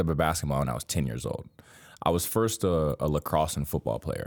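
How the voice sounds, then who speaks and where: A man speaks in an American accent with vocal fry. The recording is very clean, with a silent background. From Miami, Florida. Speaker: college basketball player. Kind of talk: interview. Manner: casual, repeats words.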